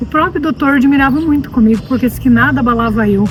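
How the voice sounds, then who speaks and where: A very fast pace, with music in the background. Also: woman. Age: 60s. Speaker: cancer survivor giving testimony. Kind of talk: testimony. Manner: halting, repeats words.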